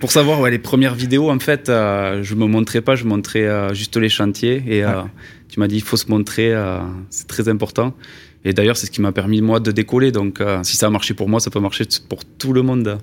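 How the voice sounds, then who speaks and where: In a Toulouse accent, a man talks at a moderate pace. His pitch sits fairly low, and his intonation stays fairly even. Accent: southwestern French (Toulouse). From Toulouse, southwest France. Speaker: video maker for construction trades. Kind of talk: interview.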